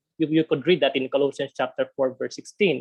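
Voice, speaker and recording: Someone speaks with a Filipino accent over a quiet background. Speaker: theology speaker. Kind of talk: webinar presentation. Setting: video call. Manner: halting, frequent repetitions.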